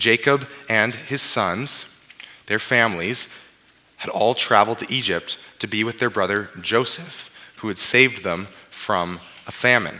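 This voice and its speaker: At a fairly slow pace with long, frequent pauses, a man with a Western Canadian accent speaks at medium pitch with ordinary pitch variation over noticeable background noise. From British Columbia, Canada (Abbotsford). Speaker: pastor. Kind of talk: sermon. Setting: church.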